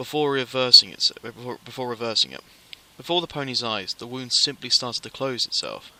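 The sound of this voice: The voice here is an unforced reading voice. Its intonation remains fairly even.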